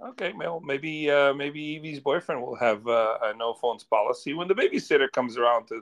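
In an unremarkable speaking voice, someone talks at a fairly quick pace with ordinary pitch variation and hardly any pauses. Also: man, fairly high pitch for a man. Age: 40s. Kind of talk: casual chat.

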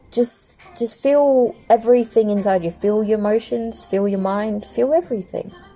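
Music plays in the background while a woman speaks at a fairly slow pace. Her voice sits fairly high, with lively intonation. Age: 30s. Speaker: podcaster. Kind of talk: personal monologue. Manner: casual.

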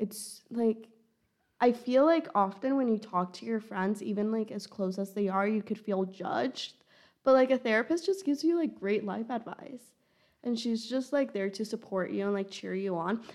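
With an ordinary speaking voice, a woman of medium pitch talks at a moderate pace using ordinary pitch variation. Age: 20s. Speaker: college student podcast co-host. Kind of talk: casual chat.

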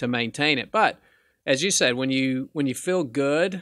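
A man at medium pitch and moderate pace, bright and sharp in tone, with a dry, close sound with no echo on a very clean recording with a silent background. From Arkansas. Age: 50s. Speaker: pawnshop owner. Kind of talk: casual chat.

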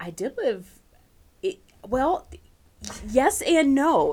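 A woman speaks with an American accent. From US, central Pennsylvania. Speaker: university campus pastor. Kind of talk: casual interview. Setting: small padded studio room.

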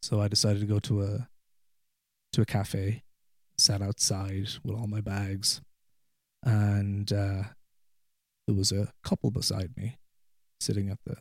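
A man with an American accent speaks at a fairly slow pace in a fairly low, somewhat breathy voice, his intonation flat and monotone, broken by long, frequent pauses. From Ireland. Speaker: guest, widower sharing personal story. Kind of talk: casual interview conversation. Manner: halting, frequent repetitions and fillers.

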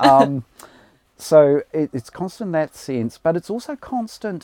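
A man's dark, mellow voice with a New Zealand accent, fairly slow, with very wide pitch swings, in a very clean recording with a silent background. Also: dry, close sound with no echo. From New Zealand, rural Hawke's Bay. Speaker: college principal. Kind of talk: interview.

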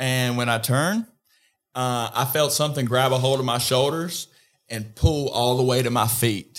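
A man's unremarkable speaking voice at a medium pitch, with fairly even intonation and a moderate pace. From North Carolina. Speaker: podcast co-host. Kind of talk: casual chat.

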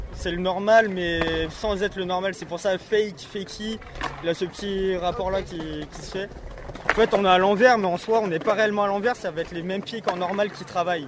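A man with a high voice talks at a fairly quick pace, his intonation fairly even but his loudness swinging widely, over noticeable background noise. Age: 20s. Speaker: skateboarder. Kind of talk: casual interview. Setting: outdoors.

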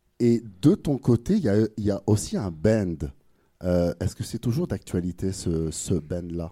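The voice has a dark, mellow tone and lively intonation at a very slow pace. The recording is very clean, with a silent background. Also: man, fairly low pitch for a man. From France. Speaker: podcast host. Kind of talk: casual interview. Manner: hesitant, many fillers.

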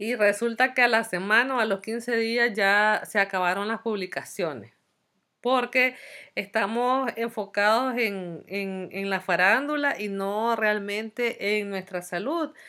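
A woman's fairly high, bright, sharp voice at a very slow pace, on a very clean recording with a silent background. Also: ordinary pitch variation. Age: 40s. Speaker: podcast host, psychology student. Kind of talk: casual monologue. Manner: hesitant, many fillers.

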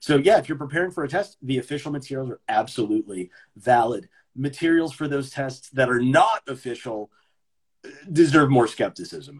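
A man's somewhat breathy, fairly high voice with an American accent, at a fairly quick pace. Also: lively intonation. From US East Coast. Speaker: English teacher. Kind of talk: casual chat.

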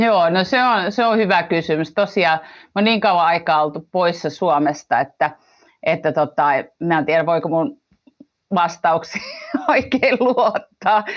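A woman's fairly low voice with lively intonation, at a very slow pace. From Finland. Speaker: management consultant. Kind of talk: interview. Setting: remote recording with headphones.

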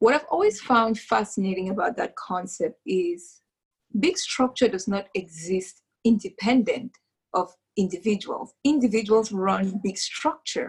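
Somewhat breathy and medium in pitch, a woman talks at a fairly slow pace with lively intonation. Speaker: podcast host. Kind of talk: casual interview. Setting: video call.

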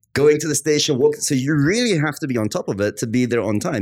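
Very wide pitch swings come at a very fast pace. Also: man. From Australia and London, UK. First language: Arabic. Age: 30s. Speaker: marketing consultant. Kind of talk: casual interview chat.

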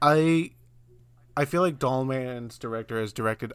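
This man has an American accent and an unremarkable speaking voice, pitched medium for a man. He talks at a moderate pace on a very clean recording with a silent background. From US South, South Carolina. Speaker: podcast host. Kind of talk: casual chat.

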